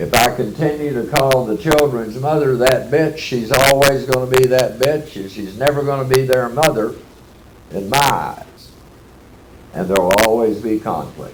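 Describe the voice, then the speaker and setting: Speaking with a Texas accent, a man of medium pitch talks at a moderate pace with ordinary pitch variation and audible room echo. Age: 70s. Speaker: AA speaker. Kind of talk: workshop talk.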